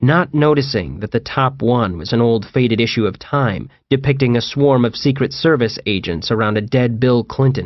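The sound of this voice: The voice uses an unforced reading voice with ordinary pitch variation.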